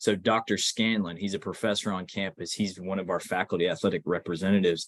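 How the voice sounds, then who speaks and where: A plain, everyday voice from a man, fairly low in pitch and at a fairly quick pace. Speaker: instructor. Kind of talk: lecture.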